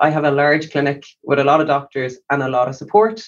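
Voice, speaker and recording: In an Irish accent, a man with a fairly high pitch talks at a fairly quick pace. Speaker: doctor. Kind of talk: interview. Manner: calm.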